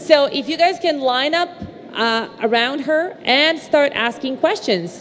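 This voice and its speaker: A woman with a high voice and lively intonation at a fairly slow pace, amid noticeable background noise and audible room echo. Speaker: news presenter moderating a cast panel. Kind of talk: live panel Q&A moderation. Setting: stage with live audience, broadcast live. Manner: animated.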